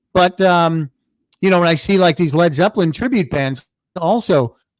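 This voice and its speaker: With an American accent and ordinary pitch variation, a man speaks in a dry, close sound with no echo. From Chicago, US Midwest. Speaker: podcast host. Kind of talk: casual livestream chat. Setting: livestream.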